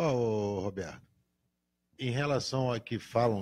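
Male voice of medium pitch with ordinary pitch variation. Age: 60s. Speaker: motorcycle club director. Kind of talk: casual live radio interview. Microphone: handheld.

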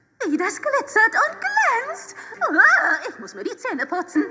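A female-sounding voice puts on a character voice at an extremely high pitch. Background noise is clearly present. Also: moderate pace. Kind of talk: children's audio drama, comic villain. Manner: greedy, gloating, theatrical.

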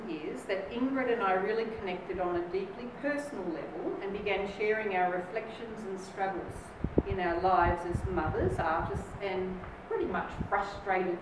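A woman talks at a moderate speed with ordinary pitch variation, noticeable noise behind her and audible echo from the room. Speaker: guest. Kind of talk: speech. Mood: lively, humorous. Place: hall. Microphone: camera far.

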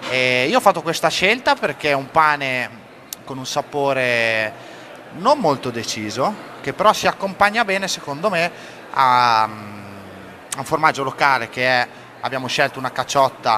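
Light background noise sits behind a man speaking at a moderate pace with long, frequent pauses. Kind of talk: interview answer. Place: kitchen.

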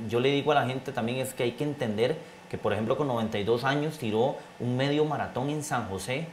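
A man talks at a very fast pace. His intonation stays fairly even over light background noise. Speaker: race broadcaster. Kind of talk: interview answer. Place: studio.

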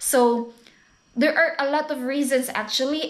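Over a quiet background, a woman with a Filipino accent speaks fairly slowly at a high pitch. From Philippines. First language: Tagalog. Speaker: vlogger. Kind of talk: vlog talk to camera. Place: home room. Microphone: webcam.

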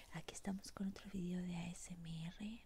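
Whispering at a fairly slow pace, a woman speaks. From Spanish, living in the United States. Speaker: ASMR creator. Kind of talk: ASMR eating sounds and whispered chat. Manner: whispering, soft. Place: home room. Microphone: earbuds.

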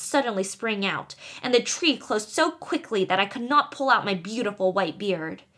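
A woman puts on a character voice. It comes out shrill. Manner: rude, snarling, quarrelsome.

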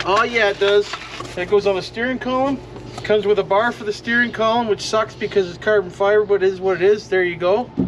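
A man with a high voice talks at a fairly quick pace with fairly even intonation over noticeable background noise. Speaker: hobby vlogger. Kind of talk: casual vlog chat. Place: street. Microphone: camera far.

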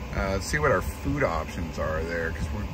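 Noticeable background noise around a man's dry sound with no echo. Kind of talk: casual vlog chat. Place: car. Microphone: phone near.

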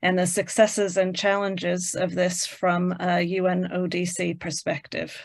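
At a fairly slow pace, a woman talks. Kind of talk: formal introduction. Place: home room. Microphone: video call.

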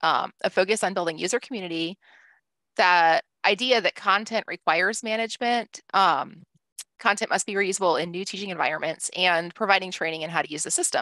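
This woman's fairly low voice has a bright, sharp tone and ordinary pitch variation at a fairly quick pace. The sound is dry and close with no echo, over a quiet background. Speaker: library technology head. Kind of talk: conference presentation. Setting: video call.

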